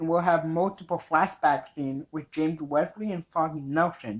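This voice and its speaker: This man has an American accent. His pitch is high. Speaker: podcast co-host. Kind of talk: casual chat.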